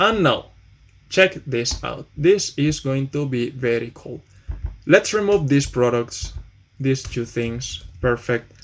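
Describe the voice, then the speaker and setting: Very slow, lively speech from a man with a medium pitch and a Spanish accent. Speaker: programming tutor. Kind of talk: tutorial. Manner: casual, hesitant with fillers.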